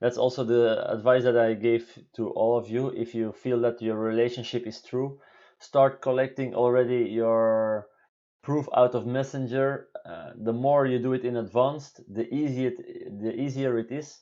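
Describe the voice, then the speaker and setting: Intonation holds fairly even. A dark, mellow tone colors the voice. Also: man, medium pitch for a man, quiet background. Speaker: vlogger. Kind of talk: live stream Q&A. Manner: halting; slow.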